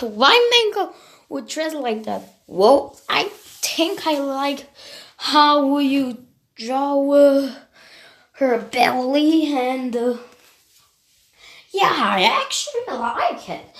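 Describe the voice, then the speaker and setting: A female-sounding voice performs a put-on character voice pitched high for a woman. She speaks at a very slow pace, with long, frequent pauses. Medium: solo performance.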